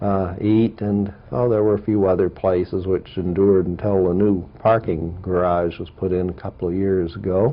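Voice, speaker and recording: With an American accent, the speaker keeps a moderate pace, hardly any pauses and fairly even intonation. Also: man, very deep, low pitch for a man. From US Mid-Atlantic (Riverdale, Maryland) and Omaha, Nebraska. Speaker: history professor. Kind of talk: oral history interview. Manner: halting, many fillers.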